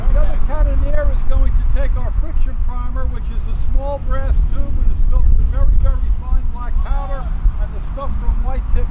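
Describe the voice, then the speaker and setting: Noticeable background noise and audible room echo fill the recording. Through them a man talks at a moderate pace. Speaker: Civil War reenactor artillery demonstrator. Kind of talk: live demonstration to public.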